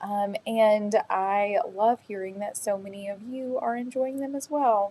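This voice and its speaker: A woman speaks with a Southern US accent in a relaxed tone. Her pace is fairly slow. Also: fairly high pitch for a woman, ordinary pitch variation. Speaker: crystal shop owner hosting live sale. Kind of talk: casual live-stream sales chat. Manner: relaxed, chatty with many fillers.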